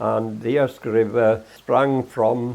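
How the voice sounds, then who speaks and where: In a Welsh accent, a man speaks at a medium pitch over a quiet background. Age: 80s+. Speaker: local elder. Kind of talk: interview testimony. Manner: halting.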